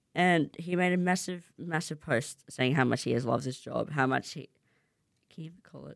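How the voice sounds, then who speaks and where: With an Australian accent, the words come out at a fairly quick pace. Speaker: student radio host. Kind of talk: casual radio show. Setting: studio. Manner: fast.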